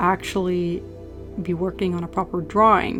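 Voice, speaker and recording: With music playing behind her, a woman with a Norwegian accent speaks in a monotone, flat delivery. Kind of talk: casual voice-over commentary for painting video.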